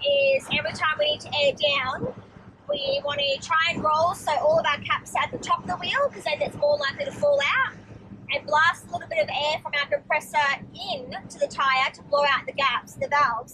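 A woman speaks in a raised, projected voice at a fairly quick pace with ordinary pitch variation. Noticeable background noise is present. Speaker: travel vlogger. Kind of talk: casual vlog chat. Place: car. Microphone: phone near.

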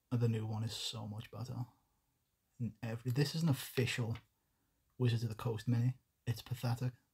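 Long, frequent pauses break up a somewhat breathy delivery in a monotone, flat intonation. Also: man, medium pitch for a man, fairly quick pace. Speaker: miniature painting streamer. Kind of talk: live stream tutorial. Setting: home desk, livestream. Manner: casual, chatty.

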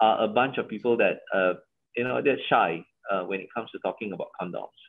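The speaker has a Malaysian accent and ordinary pitch variation. The background is quiet. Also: man. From Malaysia, Johor. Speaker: company CEO; guest. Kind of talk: interview. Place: home room. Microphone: video call.

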